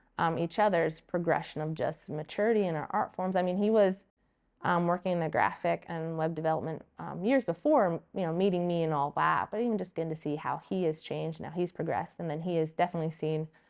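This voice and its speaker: A woman at a very fast pace over a quiet background. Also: fairly low pitch for a woman, ordinary pitch variation. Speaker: artist and small business owner. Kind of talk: casual interview chat. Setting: art studio. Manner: loud; animated.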